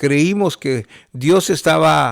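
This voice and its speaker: A man's voice comes through a very clean recording, silent background. The sound is dry and close with no echo. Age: 60s. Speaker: pastor. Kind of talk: testimony. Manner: halting, with many fillers.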